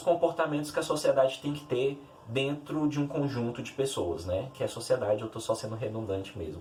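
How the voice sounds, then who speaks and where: Fairly high in pitch, a man speaks in a somewhat breathy voice. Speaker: literature youtuber. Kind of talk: educational video. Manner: halting, self-correcting.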